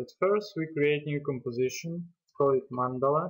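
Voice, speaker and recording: A man talks at a moderate pace in a fairly high voice. He has a non-native accent. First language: not English. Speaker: software tutorial creator. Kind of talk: tutorial. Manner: hesitant, with fillers.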